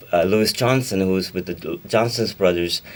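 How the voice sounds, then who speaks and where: A man speaks with a Pakistani accent. His voice is fairly low, with fairly even intonation. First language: Urdu. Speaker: singer-songwriter and record producer. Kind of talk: radio interview. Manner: halting.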